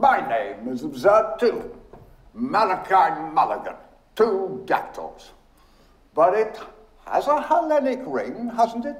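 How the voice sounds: Putting on a character voice, a man speaks slowly at a high pitch with big pitch swings, and audible room echo surrounds him.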